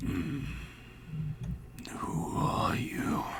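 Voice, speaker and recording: A man whispers in a put-on character voice. Loud background noise fills the recording. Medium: actual play. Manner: halting, terse.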